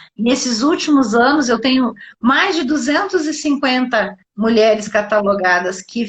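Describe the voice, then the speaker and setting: A woman's high voice with lively intonation, at a fairly slow pace. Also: quiet background. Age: 60s. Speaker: doctor and nutrition specialist. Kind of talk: live interview on health. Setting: live online broadcast.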